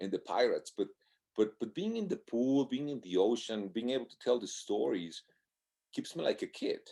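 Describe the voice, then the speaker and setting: The background is silent and the recording very clean. A man talks at a moderate pace. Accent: Spanish. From Mexico. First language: Spanish. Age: 60s. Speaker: marathon swimmer. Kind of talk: casual interview.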